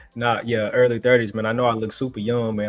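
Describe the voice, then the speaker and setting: With music in the background, a man rattles off words at a very fast pace in a monotone, flat intonation. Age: 30s. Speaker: delivery operator and content creator. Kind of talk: casual chat. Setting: live stream.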